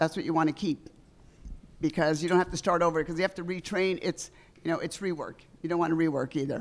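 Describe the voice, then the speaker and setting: At a very fast pace, a woman with an American accent talks in a fairly low pitch. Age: 70s. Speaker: veteran real estate agent. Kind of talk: on-stage interview. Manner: animated.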